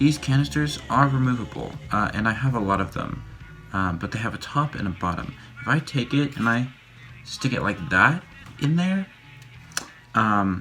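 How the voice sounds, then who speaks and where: A quiet man's voice at a medium pitch with very wide pitch swings, a moderate pace, long, frequent pauses and music in the background. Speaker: YouTuber making a costume mask. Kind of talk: casual tutorial vlog. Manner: quiet, hushed; hesitant, many fillers.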